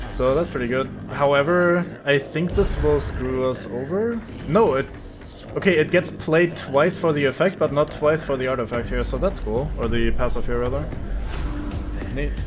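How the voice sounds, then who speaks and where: A man with a slight German accent at a moderate pace, against noticeable background noise. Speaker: streamer. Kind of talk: live gameplay commentary. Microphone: poor audio balance at start.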